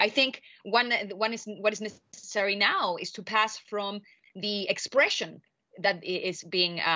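Here a woman talks with a Spanish accent. Her pitch sits in the medium range. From Chile. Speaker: political scientist. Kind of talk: interview. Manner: halting, many fillers.

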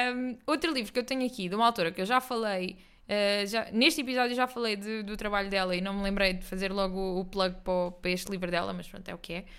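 A woman with an unremarkable speaking voice talks at a moderate pace, her medium pitch showing ordinary variation. The recording is very clean, with a silent background. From Portugal, Algarve (Quarteira). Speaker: podcast co-host. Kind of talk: casual chat.

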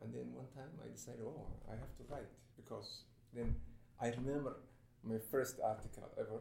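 A man speaks at a moderate pace, his loudness swinging widely, with long, frequent pauses. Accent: Somali. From Somalia. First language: Somali. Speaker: writer. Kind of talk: panel discussion.

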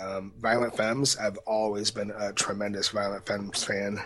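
There is noticeable background noise as a man with a fairly low voice talks with hardly any pauses. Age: 40s. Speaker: podcast co-host, amateur historian and musician. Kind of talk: casual chat.

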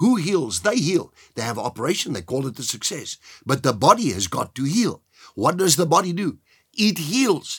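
Vocal fry from a man with a fairly high pitch, a moderate pace and very wide pitch swings. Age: 70s. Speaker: pastor. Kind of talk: sermon.

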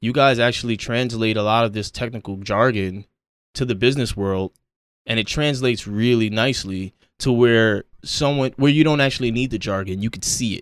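This man with an American accent has an unremarkable speaking voice, medium pitch and fairly even intonation, in a very clean recording with a silent background. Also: fairly quick pace. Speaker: podcast host. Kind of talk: casual chat.

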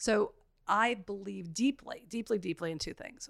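In a normal speaking voice, a woman with an American accent talks at a moderate pace, the sound dry and close with no echo. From New York City. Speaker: real estate investor and former deputy mayor. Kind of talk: podcast interview.

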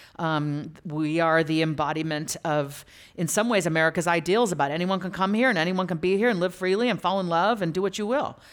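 A woman speaks in a normal speaking voice at a fairly quick pace with hardly any pauses, her pitch fairly low and its variation ordinary, in a very clean recording with a silent background. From US (moved from Lagos, Nigeria as a toddler). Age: 50s. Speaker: author. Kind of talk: public interview on stage. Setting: stage with audience.

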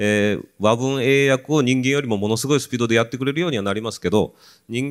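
In a very clean recording with a silent background, an ordinary speaking voice carries ordinary pitch variation. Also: man. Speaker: professor researching happiness. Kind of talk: panel talk.

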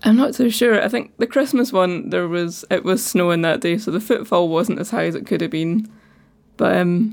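A woman speaks with a Scottish accent at medium pitch, using a relaxed tone, vocal fry, ordinary pitch variation and a moderate pace. The recording is very clean, with a silent background. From Falkirk, Scotland. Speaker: ceramicist. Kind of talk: casual interview chat. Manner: relaxed, funny.

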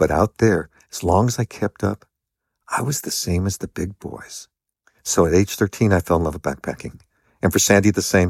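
The speech moves at a moderate pace with ordinary pitch variation, in a dry, close sound with no echo and a very clean recording over a silent background. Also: man, very deep, low pitch for a man. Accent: American. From US West Coast, Los Angeles. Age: 60s. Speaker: long-distance hiker. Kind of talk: interview.

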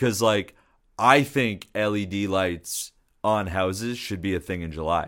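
The pace is fairly slow. The pitch varies in an ordinary way. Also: man. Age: 30s. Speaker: music producer and studio engineer. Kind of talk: casual chat. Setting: studio.

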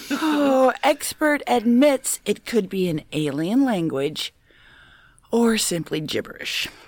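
With an American accent, a woman speaks very slowly in a fairly high voice that swings very widely in pitch. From Minnesota, US. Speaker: podcast panelist. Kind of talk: reading news stories in a comedic quiz show.

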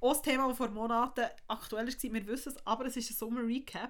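A woman talks in a high pitch. She keeps a fairly quick pace. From Switzerland, Bern. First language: Swiss German (speaking German). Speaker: podcast co-host. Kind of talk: casual chat.

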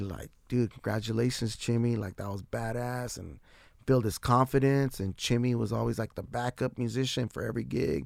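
An ordinary speaking voice from a man with an American accent, medium in pitch with ordinary pitch variation. He talks at a fairly quick pace in a very clean recording with a silent background. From San Diego, California. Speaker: musician. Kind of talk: casual chat.

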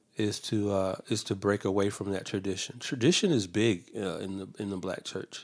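A man with an ordinary speaking voice talks at a fairly low pitch and a moderate pace. His intonation is fairly even, with hardly any pauses. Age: 50s. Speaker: theology student and guest. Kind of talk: interview. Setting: office.

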